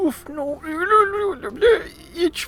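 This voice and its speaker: Mumbling in a put-on character voice, the speaker uses a high pitch. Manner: mumbling with mouth full, hard to understand.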